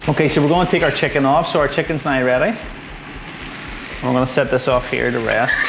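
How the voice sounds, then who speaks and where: A man with a fairly high pitch speaks at a very fast pace, broken by long, frequent pauses, his loudness very even. The room has an audible echo, and there is noticeable background noise. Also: ordinary pitch variation. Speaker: home cook. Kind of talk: cooking tutorial.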